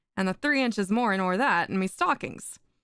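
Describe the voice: Simply plain reading aloud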